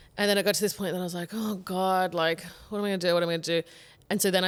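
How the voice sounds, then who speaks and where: A woman speaks very fast with an Australian accent. Her pitch is medium, and the recording is very clean with a silent background. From Queensland, Australia. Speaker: comedian. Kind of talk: casual chat. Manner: animated.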